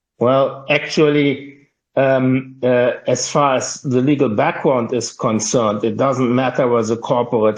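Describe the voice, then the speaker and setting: A man with a German accent talks at medium pitch and a moderate pace. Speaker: IT worker. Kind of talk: casual chat. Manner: halting, with many fillers.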